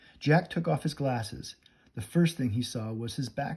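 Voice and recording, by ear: A voice reading aloud in a natural voice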